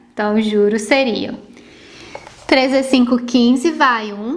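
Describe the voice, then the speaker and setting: At a very slow pace, a woman speaks in a high pitch with ordinary pitch variation, noticeable background noise behind her. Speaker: math teacher. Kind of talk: tutorial.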